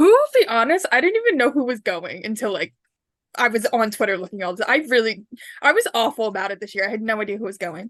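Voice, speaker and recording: Her fairly high voice moving with lively intonation, a woman speaks at a very fast pace. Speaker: podcast co-host. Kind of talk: casual chat. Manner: loud.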